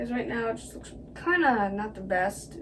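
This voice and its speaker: A woman speaks at a medium pitch and a moderate pace. There is audible room echo and noticeable background noise. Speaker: video creator. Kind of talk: casual commentary. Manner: hesitant, many fillers.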